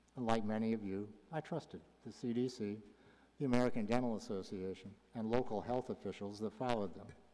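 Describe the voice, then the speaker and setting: A man's dark, mellow voice at medium pitch and a fairly quick pace. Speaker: public commenter, retired health charity executive. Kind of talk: public comment at council meeting.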